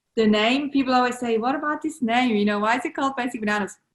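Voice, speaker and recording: A woman speaks with a Swiss accent. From Switzerland. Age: 30s. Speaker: entrepreneur. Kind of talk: podcast interview.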